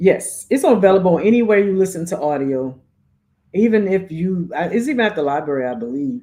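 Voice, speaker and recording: This woman has a dark, mellow tone and a fairly quick pace. Her pitch swings very widely. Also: medium pitch for a woman. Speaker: podcast co-host and author. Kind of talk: casual chat.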